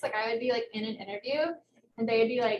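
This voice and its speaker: The speaker is a woman. She has a slight southern Ohio accent. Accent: slight southern Ohio twang. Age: 20s. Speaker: researcher. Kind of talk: lecture. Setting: hybrid presentation with microphone. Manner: fast, words run together; casual, filler-heavy.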